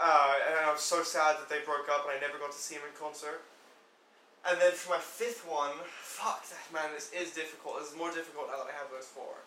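Through noticeable background noise and audible room echo, a man speaks in a fairly high pitch with fairly even intonation and big swings in loudness. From England. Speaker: music fan. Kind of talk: casual chat.

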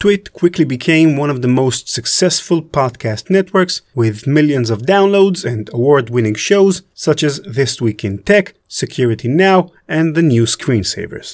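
A man with an Israeli accent speaks at a fairly slow pace with hardly any pauses. His pitch is fairly high and his intonation lively. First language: Hebrew. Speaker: podcast host and producer. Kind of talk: scripted narration; interview.

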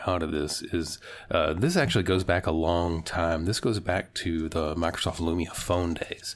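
A man with a low voice talks at a moderate pace.

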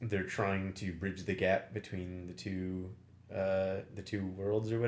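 What comes through is a natural reading voice.

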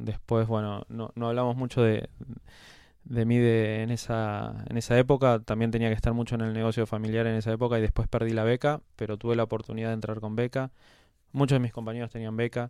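A man speaks in a monotone, flat intonation at medium pitch and a fairly quick pace, with a dark, mellow tone. The recording is very clean, with a silent background. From Argentina, Quilmes (Greater Buenos Aires). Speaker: pharmaceutical company CEO. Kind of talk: casual interview.

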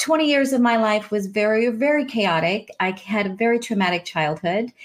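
A woman's fairly high voice, an ordinary speaking voice, lively in intonation and moderate in pace. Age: 40s. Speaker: life coach. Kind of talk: casual chat.

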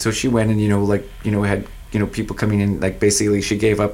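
This man talks at a fairly quick pace with a Maritime Canadian accent. His pitch sits fairly low. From New Brunswick, Canada (Fredericton). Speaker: music artist manager and festival founder. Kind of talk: casual radio interview.

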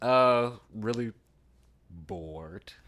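A man is speaking. He has a Louisiana accent. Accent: Southern US (Louisiana). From US South, Louisiana. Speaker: actor. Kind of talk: casual interview.

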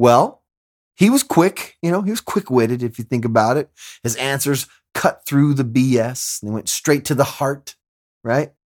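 Recorded very clean with a silent background and a dry, close sound with no echo, a man at medium pitch speaks at a moderate pace with ordinary pitch variation. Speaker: podcast host. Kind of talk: casual chat. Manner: halting.

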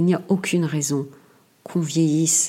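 Very deep, low pitch from a woman, dark and mellow in tone. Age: 60s. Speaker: podcaster. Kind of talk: solo monologue. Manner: halting, frequent repetitions.

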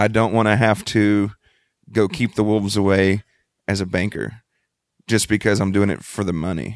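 A man with a Texan accent speaks at a fairly low pitch with fairly even intonation and long, frequent pauses. The recording is very clean, with a silent background. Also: moderate pace. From Texas Gulf Coast, Freeport. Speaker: band lead singer. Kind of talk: casual interview.

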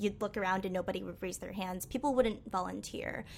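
A woman with an American accent, a medium pitch, and ordinary pitch variation has an unremarkable speaking voice. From Western Massachusetts, US. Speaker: UX designer. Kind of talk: casual interview.

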